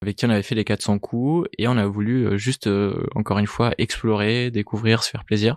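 With a quiet background and a dry, close sound with no echo, the speech moves at a moderate pace with fairly even intonation. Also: man. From Italy, moved to France at 13. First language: Italian (speaking French). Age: 30s. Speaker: entrepreneur, startup co-founder. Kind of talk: interview conversation. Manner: hesitant, many fillers.

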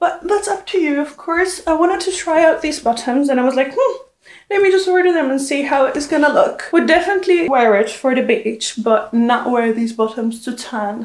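At a moderate pace, a woman speaks in a high voice with audible room echo. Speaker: clothing haul vlogger. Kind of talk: casual vlog chat. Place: home room.

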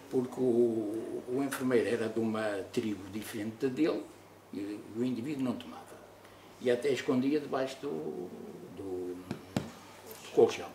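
Background noise is noticeable as a man speaks. He goes at a fairly slow pace with ordinary pitch variation. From Mozambique. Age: 80s+. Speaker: retired doctor; interviewee. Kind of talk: testimony. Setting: studio. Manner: halting. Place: meeting room.

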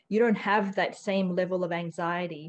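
A woman's fairly even intonation over light background noise. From Australia, from Hong Kong as a child. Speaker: education researcher, author; university associate professor guest. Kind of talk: pre-recorded interview. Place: home room. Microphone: webcam.

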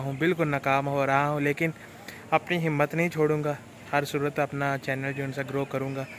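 The voice is monotone and flat at a fairly slow pace, with a dry sound with no echo and light background noise. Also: man. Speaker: vlogger. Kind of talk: casual vlog chat. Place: street. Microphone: phone near.

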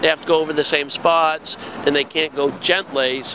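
The sound is dry, with no echo, and there is noticeable background noise. A man speaks with fairly even intonation. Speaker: street interviewer. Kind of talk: interview questions. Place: street. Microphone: handheld.

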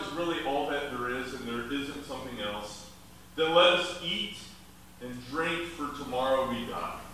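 A man at a fairly slow pace amid strong room echo and light background noise. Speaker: preacher. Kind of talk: sermon. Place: hall.

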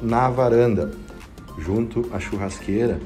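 A man's fairly low voice with ordinary pitch variation, faint music playing in the background. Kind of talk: property tour commentary. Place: home room. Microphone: phone near.

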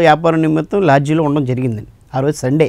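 A man's voice comes through dry, with no echo, against a quiet background. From Andhra Pradesh, East Godavari; Andhra Pradesh. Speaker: social worker; guest. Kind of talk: interview. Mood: earnest, appealing to chief ministers. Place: studio. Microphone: lapel.

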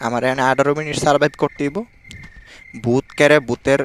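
The sound is dry and close, with no echo, though background noise is noticeable. A man speaks at a fairly high pitch. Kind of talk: gameplay commentary. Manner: speaking very quietly on purpose; animated.

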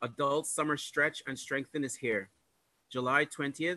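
A man's fairly high voice with a bright, sharp tone, dry with no echo. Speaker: church greeter. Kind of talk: announcements. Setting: church. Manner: formal. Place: home room. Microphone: video call.

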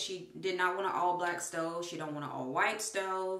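A woman speaks at a moderate pace in a fairly low pitch with fairly even intonation. The background is quiet, though some room echo is audible. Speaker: family vlogger. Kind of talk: casual vlog chat. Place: bathroom. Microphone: phone near.

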